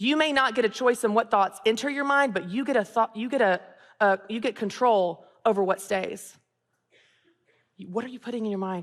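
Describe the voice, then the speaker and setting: A woman with a Southern US accent talks at a fairly quick pace in an animated tone. She uses ordinary pitch variation and takes long, frequent pauses. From US South, Tennessee. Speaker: author and business coach, speaker. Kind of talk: inspirational talk. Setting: stage with audience.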